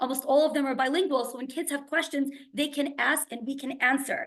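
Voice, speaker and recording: A woman in an American accent, high-pitched, at a fairly quick pace. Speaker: school principal. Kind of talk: webinar presentation. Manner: fast.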